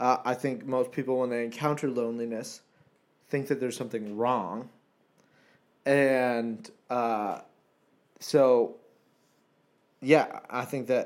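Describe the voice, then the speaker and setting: A man with a medium pitch speaks at a very slow pace, with long, frequent pauses. The recording is very clean, with a silent background. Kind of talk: casual chat. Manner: animated, laughs often.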